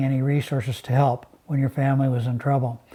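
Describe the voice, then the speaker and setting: With an American accent, a man talks at a fairly quick pace in a fairly high, somewhat breathy voice whose dark, mellow tone stays monotone and flat. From Seattle, US Pacific Northwest. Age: 70s. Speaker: former business executive. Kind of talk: interview. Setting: live stream interview.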